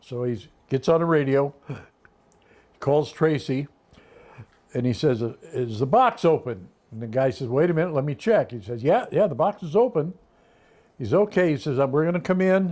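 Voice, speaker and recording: Speaking at a moderate pace with long, frequent pauses, a man with an American accent has a fairly high pitch, a dark, mellow tone and very wide pitch swings. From California. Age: 90s. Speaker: grandfather telling life stories. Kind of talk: family interview, storytelling. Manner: animated.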